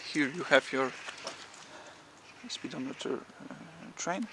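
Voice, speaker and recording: A man talks with a Polish accent. Noticeable background noise runs through the clip. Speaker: motorcycle owner and enthusiast. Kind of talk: tutorial. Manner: halting, many fillers and repetitions.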